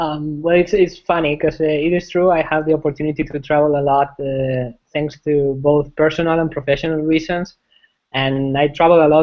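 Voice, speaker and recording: Flat and monotone, a man with a Spanish accent and a fairly high pitch speaks at a fairly quick pace. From Spain, Madrid. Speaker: software engineering manager. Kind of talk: interview. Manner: halting, many fillers and repetitions.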